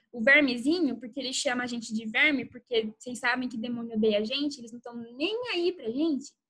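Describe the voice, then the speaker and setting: Raised and projected, a woman's high-pitched voice has a bright, sharp tone and ordinary pitch variation. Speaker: youth church speaker. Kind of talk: youth Bible talk. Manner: casual, conversational.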